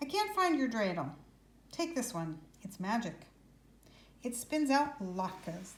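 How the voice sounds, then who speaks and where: A gruff put-on character voice, fairly slow, with very wide pitch swings, long and frequent pauses, and audible echo. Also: woman, fairly high pitch for a woman. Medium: read story. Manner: gruff, muttering.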